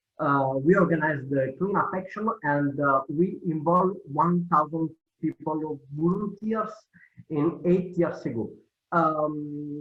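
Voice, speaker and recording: Speaking in an Italian accent, a man uses a fairly high pitch with ordinary variation and a fairly slow pace. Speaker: cleanup organization leader. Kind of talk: presentation. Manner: halting.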